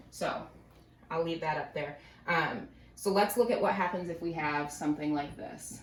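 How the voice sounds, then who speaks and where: A woman with ordinary pitch variation and long, frequent pauses, amid noticeable background noise and audible room echo. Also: fairly low pitch for a woman. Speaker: math teacher. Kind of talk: lecture. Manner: fast.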